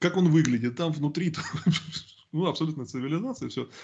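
Using lively intonation, a man speaks with a fairly high pitch. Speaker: YouTube channel host. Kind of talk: casual discussion on politics. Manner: talkative, opinionated.

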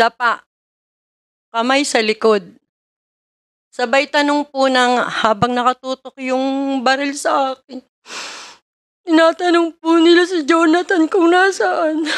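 Against a quiet background, a high-pitched woman speaks at a very slow pace with long, frequent pauses and lively intonation. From Philippines. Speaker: witness. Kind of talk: testimony. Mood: serious, recounting a raid. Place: hall. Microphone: podium.

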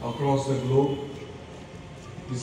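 A man is speaking amid noticeable background noise. Strong room echo surrounds his voice. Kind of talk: public speech. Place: street. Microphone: pa.

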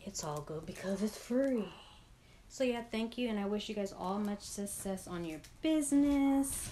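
A woman's dark, mellow tone with lively intonation at a fairly slow pace, over light background noise. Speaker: vlogger. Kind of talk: casual vlog chat. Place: home room. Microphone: phone near.

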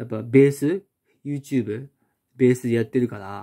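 The tone is dark and mellow, moving at a fairly quick pace. The background is quiet. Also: man. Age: 30s. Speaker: unemployed video blogger; vlogger. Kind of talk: casual monologue. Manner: rambling, halting. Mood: frustrated, critical of TV. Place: home room. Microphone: phone near.

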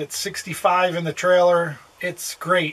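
A man talks in a high pitch. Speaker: RV travel vlogger. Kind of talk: casual vlog chat. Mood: quiet, others asleep. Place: home room. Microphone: phone near.

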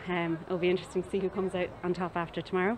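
With an Irish accent, a woman talks at a very fast pace in a monotone, flat intonation over light background noise. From Ireland. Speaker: tag rugby player. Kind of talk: post-match interview. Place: stadium. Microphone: handheld.

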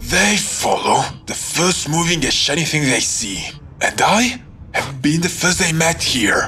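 Fairly slowly, someone delivers lines in a put-on character voice while clear background noise runs beneath. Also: man, fairly high pitch for a man.

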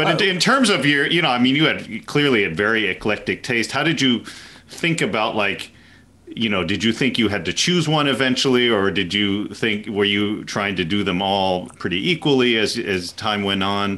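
A man with an American accent talks at a moderate pace. His pitch is fairly low. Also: lively intonation. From US South, Nashville. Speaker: music festival director and violinist. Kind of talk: casual chat. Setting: video call. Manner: halting. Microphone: video call.

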